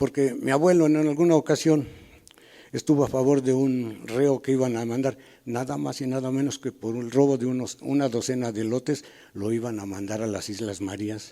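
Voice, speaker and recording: At a moderate pace, a man speaks with a dark, mellow tone and a medium pitch that varies in an ordinary way. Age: 70s. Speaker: elder community member. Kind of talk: panel talk, personal recollection. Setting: public panel with audience.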